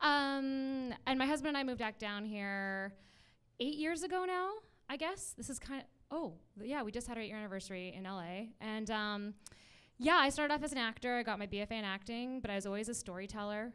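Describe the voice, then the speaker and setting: A woman's fairly high voice with a Canadian accent, bright and sharp in tone, lively in intonation and fairly quick in pace. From Vancouver, Canada. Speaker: actor and producer, online community founder. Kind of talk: panel discussion.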